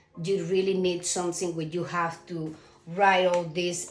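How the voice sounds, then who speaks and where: With a Cuban accent, a woman speaks at a fairly low pitch and fairly slow pace in monotone, flat intonation, amid noticeable background noise and audible room echo. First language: Spanish. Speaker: self-published author. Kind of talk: casual vlog talk. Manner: halting, with fillers.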